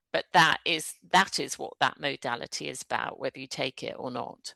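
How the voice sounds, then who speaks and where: Against a quiet background, the speaker talks at a moderate pace with a British accent in a dry, close sound with no echo. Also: woman. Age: 60s. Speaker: energy therapist, former solicitor. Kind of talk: interview conversation.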